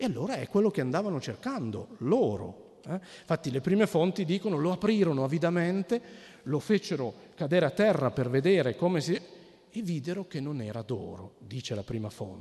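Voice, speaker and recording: A man talks at a high pitch with a dark, mellow tone. He moves at a fairly quick pace, his pitch swinging very widely. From Piedmont, Cuneo. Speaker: anthropologist. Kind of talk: lecture. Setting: stage with audience. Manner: halting.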